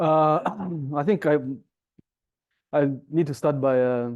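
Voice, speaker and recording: Dark, mellow male voice with an African accent and fairly even intonation, against a quiet background. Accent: deep African. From Rwanda (grew up in refugee camp nearby). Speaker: diplomat and former broadcasting executive. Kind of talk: public lecture. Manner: hesitant, many fillers.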